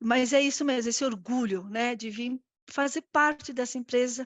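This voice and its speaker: The speaker is a woman with a high pitch. She talks in an Argentine accent. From Argentina. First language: Spanish (speaking Portuguese). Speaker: corporate risk director. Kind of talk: live interview. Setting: live stream. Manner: halting, many fillers.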